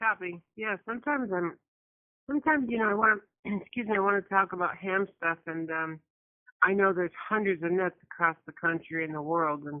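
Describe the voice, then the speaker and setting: A woman talks in a normal speaking voice at a medium pitch. Her pace is fairly quick and her intonation lively. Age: 60s. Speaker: ham radio operator, net participant. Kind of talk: casual radio chat.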